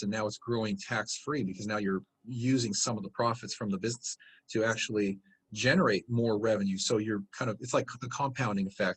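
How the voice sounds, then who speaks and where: A man speaks in a somewhat breathy voice, the sound dry and close with no echo. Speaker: real estate investing company founder. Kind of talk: interview answer, conversational.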